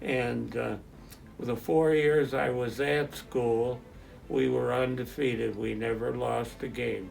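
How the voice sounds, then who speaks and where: Music plays in the background as a man with an American accent speaks at a very slow pace. The room echo is audible. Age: 90s. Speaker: retired football player and youth football volunteer. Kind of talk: interview. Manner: halting.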